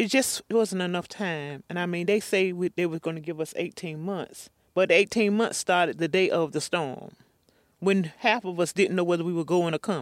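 In an eastern North Carolina accent, a woman speaks at fairly low pitch with ordinary pitch variation, the sound dry and close with no echo. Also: moderate pace, very clean recording, silent background. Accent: eastern North Carolina Southern. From eastern North Carolina, Pender County. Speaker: retired hurricane survivor. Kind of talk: interview testimony.

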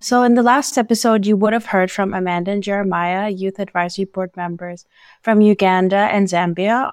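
A woman with an ordinary speaking voice talks at a medium pitch and a fairly quick pace with fairly even intonation. The recording is very clean, with a silent background. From Canada. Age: young. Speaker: youth podcast host. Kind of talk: casual chat.

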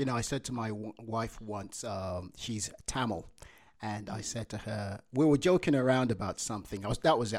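A man with a Yoruba accent talks at a moderate pace and medium pitch, with ordinary pitch variation, in a very clean recording with a silent background. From Nigeria. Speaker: podcast host. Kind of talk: casual chat.

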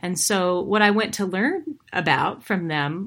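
A woman with a plain, everyday voice speaks at a fairly low pitch with ordinary pitch variation, in a very clean recording with a silent background. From Montana, US. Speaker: author and former country singer. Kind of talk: interview.

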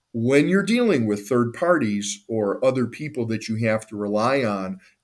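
A plain, everyday voice: a man with an American accent, medium pitch, ordinary pitch variation and a moderate pace, on a very clean recording with a silent background. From northeastern Ohio (Cleveland). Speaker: lawyer. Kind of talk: interview. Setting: call.

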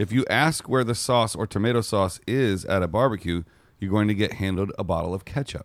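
A man talks at a fairly quick pace in a normal speaking voice, his pitch fairly low with ordinary pitch variation. The recording is very clean, with a silent background. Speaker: podcast co-host. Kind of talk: casual banter, comedic podcast chat. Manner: playful, joking.

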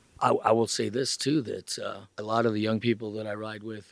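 A man with a plain, everyday voice at a medium pitch, talking at a moderate pace. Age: 60s. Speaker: driver's education instructor, retired salesman. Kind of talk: casual interview, storytelling.

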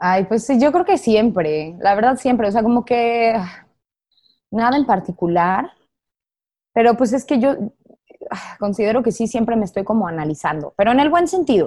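Using a Mexican accent, a woman with a dark, mellow tone and fairly high pitch talks at a moderate pace with very even loudness, very wide pitch swings and long, frequent pauses. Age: 20s. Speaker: actress. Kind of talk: casual interview.

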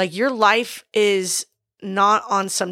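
Here is a normal speaking voice with ordinary pitch variation, captured on a very clean recording with a silent background. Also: woman. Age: 30s. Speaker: podcast co-host and business owner. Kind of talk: casual chat.

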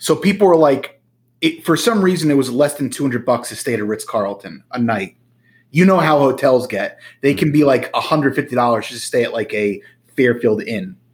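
A man speaks in an American accent with lively intonation. He has a plain, everyday voice. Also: fairly high pitch for a man, moderate pace. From New Jersey. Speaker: podcast co-host. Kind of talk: casual chat.

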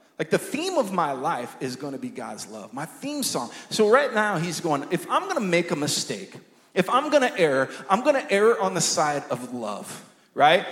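Against noticeable background noise, a man speaks at a moderate pace with a high pitch and very wide pitch swings. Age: 20s. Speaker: pastor and worship leader. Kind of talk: sermon. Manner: halting.

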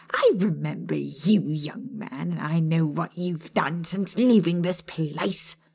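Using a put-on character voice at a middle pitch, the speaker moves at a fairly slow pace with hardly any pauses.

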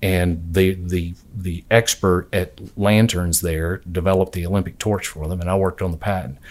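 Very deep, low male speech in a Southern US accent, fairly even in intonation, with hardly any pauses, in a very clean recording against a silent background. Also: moderate pace. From US South, southwest Georgia (Albany). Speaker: patent attorney. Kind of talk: interview conversation.

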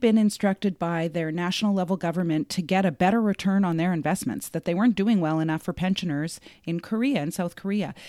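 A dark, mellow tone with a Canadian accent and ordinary pitch variation, on a very clean recording with a silent background. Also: woman. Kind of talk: casual chat.

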